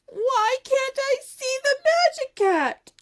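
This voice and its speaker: This is a put-on character voice. Its pitch sits extremely high. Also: very slow pace. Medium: read story. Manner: inquisitive, earnest.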